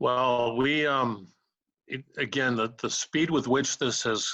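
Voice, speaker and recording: A man talks at a very slow pace in a bright, sharp tone, with a dry, close sound, no echo and a quiet background. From New England (Massachusetts). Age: 70s. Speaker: retired judge and mediator. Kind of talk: interview. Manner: halting, many fillers.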